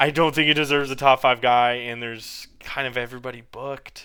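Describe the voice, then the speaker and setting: In a very clean recording with a silent background, a man talks at a fairly quick pace in an animated tone that sounds bright and sharp. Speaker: MMA commentator youtuber. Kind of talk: casual monologue. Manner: halting, stumbling.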